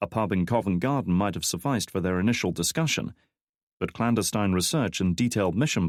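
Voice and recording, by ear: The speaker is reading aloud in a natural voice. The intonation is lively and the background quiet.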